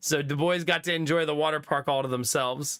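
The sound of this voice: A man speaks at a fairly quick pace with a fairly high pitch and fairly even intonation. His tone is clear, smooth and fairly bright.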